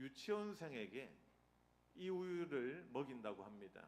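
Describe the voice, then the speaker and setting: A man speaks with a Busan accent and lively intonation. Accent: Gyeongsang (Busan) dialect. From Busan, South Korea. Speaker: seminary professor, guest preacher. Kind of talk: sermon. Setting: church with congregation. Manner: humorous, interactive with audience.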